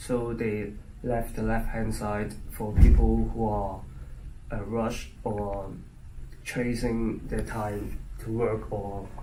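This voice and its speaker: A man with a Chinese accent at a very slow pace, with long, frequent pauses, noticeable background noise, and audible room echo. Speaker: international student. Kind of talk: interview. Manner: halting, many fillers.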